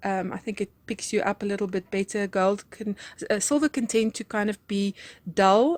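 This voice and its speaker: A woman's medium-pitched voice in a South African accent, with fairly even intonation and a moderate pace, in a very clean recording with a silent background and a dry, close sound with no echo. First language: Afrikaans. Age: 40s. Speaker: crafts YouTuber. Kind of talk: craft haul and tutorial chat. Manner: hesitant, many fillers.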